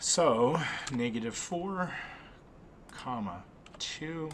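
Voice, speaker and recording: Lively intonation marks a man's medium-pitched voice. The recording carries audible room echo and noticeable background noise. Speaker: math teacher. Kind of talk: tutorial.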